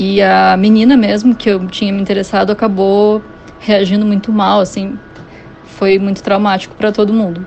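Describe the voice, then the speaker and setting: Noticeable background noise sits behind a woman's voice. She speaks at a moderate pace with monotone, flat intonation. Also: medium pitch for a woman. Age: 30s. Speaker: listener. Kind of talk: voice message. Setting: WhatsApp voice message.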